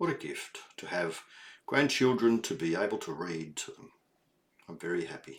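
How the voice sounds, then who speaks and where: Speaking at a fairly slow pace, a man with a warm, gentle tone lets his pitch swing very widely. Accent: Australian. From Australia. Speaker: grandfather reading children's books. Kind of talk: children's read-aloud with explanations. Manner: warm, gentle, slow.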